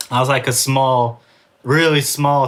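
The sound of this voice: This man's voice has a fairly bright tone.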